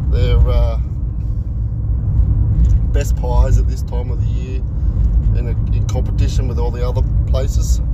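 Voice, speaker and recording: Loud background noise sits under the voice. The pace is moderate and the sound is dry, with no echo. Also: man. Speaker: live streamer. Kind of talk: casual vlog chat. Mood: relaxed, friendly. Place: car. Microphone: phone near.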